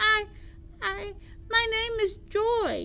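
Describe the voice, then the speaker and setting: Putting on a character voice, a woman squeaks in an extremely high pitch with a timid tone over light background noise. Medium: read story. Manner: small, timid.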